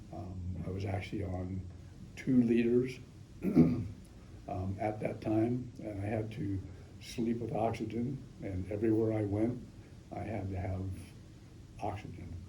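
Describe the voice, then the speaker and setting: A man's fairly low voice with an American accent, fairly slow and fairly even in intonation, with long, frequent pauses and audible room echo. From Northern California. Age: 70s. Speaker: patient. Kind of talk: testimony. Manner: halting, frequent ums.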